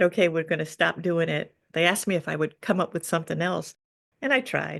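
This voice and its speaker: Fairly low in pitch and touched with vocal fry, a woman's voice moves at a fairly quick pace. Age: 60s. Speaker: cartoonist. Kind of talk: interview. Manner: halting.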